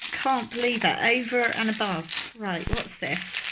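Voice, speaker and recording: A woman with a Dorset accent speaks at a fairly high pitch. There is audible room echo and noticeable background noise. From England, Dorset. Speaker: resin craft youtuber. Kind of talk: unboxing video. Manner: animated.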